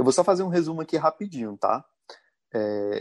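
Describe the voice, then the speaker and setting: A man with an unremarkable speaking voice and a fairly high pitch speaks with lively intonation against a quiet background. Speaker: podcast co-host. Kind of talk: casual chat.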